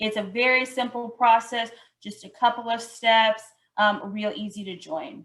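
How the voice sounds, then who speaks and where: A woman speaks in a normal speaking voice, fairly high in pitch, with fairly even intonation at a fairly slow pace. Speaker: outreach coordinator presenting a purchasing program. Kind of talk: webinar presentation.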